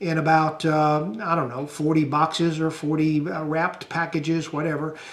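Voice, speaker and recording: Noticeable background noise sits behind a man with a Southern US accent. He speaks at a moderate pace with a fairly high pitch. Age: 60s. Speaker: YouTuber and small farmer. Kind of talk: casual vlog talk. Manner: halting, many fillers.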